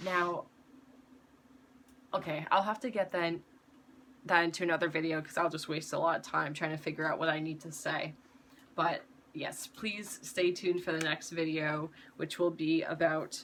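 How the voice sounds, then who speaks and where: Noticeable background noise accompanies a voice with fairly even intonation. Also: woman, fairly low pitch for a woman. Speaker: YouTuber sharing personal advice. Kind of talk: casual product review monologue. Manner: slow; halting, many fillers.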